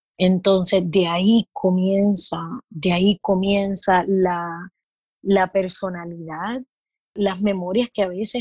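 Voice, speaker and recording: A woman's voice sounds somewhat breathy. The sound is dry and close with no echo over a quiet background. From Puerto Rico. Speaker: midwife. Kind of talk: casual interview.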